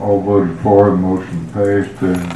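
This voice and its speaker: Over noticeable background noise and audible room echo, a man speaks with a Texan accent at a moderate pace. His pitch is fairly low and his intonation fairly even. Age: 80s+. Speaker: county judge chairing meeting. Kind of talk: formal meeting procedure. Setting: county commissioners court meeting.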